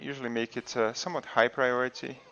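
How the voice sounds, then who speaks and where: Speaking at a fairly quick pace, a man with a medium-pitched voice has a non-native accent. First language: not English. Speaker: video game streamer. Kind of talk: gameplay tutorial. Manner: casual, with fillers.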